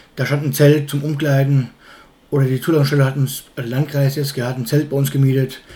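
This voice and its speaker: A man speaks at a very fast pace in a dark, mellow tone. His voice is somewhat breathy. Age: 30s. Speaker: fairground showman. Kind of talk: casual interview. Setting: home kitchen. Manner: halting.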